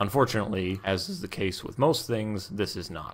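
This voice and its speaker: A man with a normal speaking voice, fairly low in pitch, at a moderate pace. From Canada. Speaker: video tutorial host. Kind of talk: tutorial. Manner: casual, joking.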